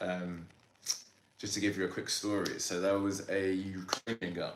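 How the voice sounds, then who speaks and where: A man's plain, everyday voice, fairly low pitched, moving at a moderate pace. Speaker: podcast host. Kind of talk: podcast interview questions.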